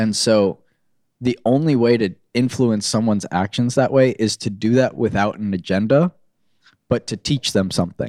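A man with an American accent speaks at medium pitch and a moderate pace, with ordinary pitch variation and a dark, mellow tone. The recording is very clean with a silent background and a dry, close sound with no echo. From Florida. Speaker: automotive social media influencer and agency owner. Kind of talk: casual interview chat.

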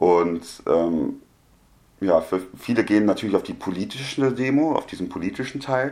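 With lively intonation, a man speaks in an ordinary speaking voice at a moderate pace and medium pitch. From Germany. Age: 20s. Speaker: media studies student. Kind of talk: casual chat.

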